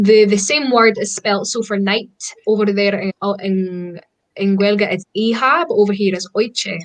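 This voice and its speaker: A woman's medium-pitched voice with a Scottish accent, at a fairly slow pace and with ordinary pitch variation. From Scotland. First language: Scottish Gaelic. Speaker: pagan practitioner. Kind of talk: casual chat.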